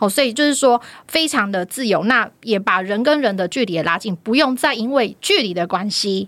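A woman speaks at a moderate pace with a fairly high pitch and lively intonation. The recording is very clean, with a silent background. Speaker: university finance professor. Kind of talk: casual chat.

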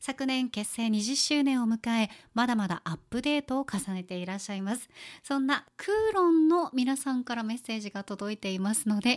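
In a normal speaking voice, a woman talks at a moderate pace with lively intonation and fairly high pitch, the sound dry and close with no echo. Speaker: podcast host. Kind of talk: casual chat. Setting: studio. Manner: laughs easily, relaxed.

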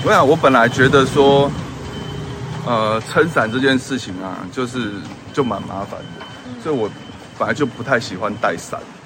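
Over noticeable background noise, a man at medium pitch talks at a moderate pace with ordinary pitch variation, big swings in loudness, and long, frequent pauses. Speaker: podcast host. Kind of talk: casual chat. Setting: in a car. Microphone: audio taken from video, poorer sound.

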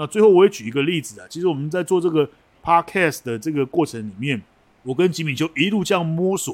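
Talking very fast, a man with a fairly high pitch sounds animated, his intonation lively. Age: 50s. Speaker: podcast co-host, forum moderator. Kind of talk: casual chat.

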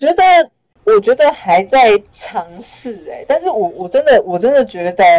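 A woman speaks with lively intonation. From Taiwan, Changhua. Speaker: comedian and writer. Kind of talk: casual interview.

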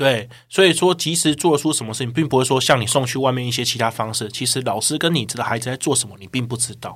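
Speaking at a very fast pace with hardly any pauses, a man with a Taiwanese accent keeps a medium pitch and ordinary pitch variation while his loudness swings widely. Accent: Taiwanese Mandarin. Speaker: online course sales manager. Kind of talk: podcast interview.

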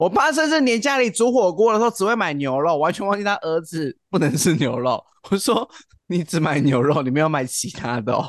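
Delivered at a fairly quick pace with hardly any pauses, the voice shows very wide pitch swings and big swings in loudness. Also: man, high pitch for a man. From Taiwan, Kaohsiung County. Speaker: podcast co-host. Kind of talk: casual chat.

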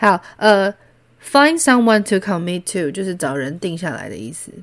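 On a very clean recording with a silent background, a woman at medium pitch speaks with lively intonation. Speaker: podcast host. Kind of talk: casual solo talk explaining song lyrics. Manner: animated.

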